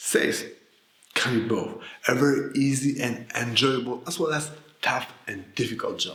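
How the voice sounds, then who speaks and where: A man talks at a moderate pace with fairly even intonation. The room echo is audible and background noise is noticeable. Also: medium pitch for a man. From Poland. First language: Polish. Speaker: sales coach. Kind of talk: scripted narration.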